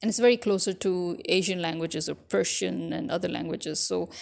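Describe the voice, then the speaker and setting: A woman with a fairly low pitch and some vocal fry. She talks at a moderate pace. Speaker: podcaster. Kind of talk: casual monologue to audience.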